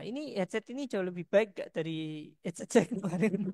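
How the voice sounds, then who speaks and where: The sound is dry and close with no echo, carrying lively intonation at a very fast pace. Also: woman. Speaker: lecturer. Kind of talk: lecture. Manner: soft-spoken. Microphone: headset, sound too quiet.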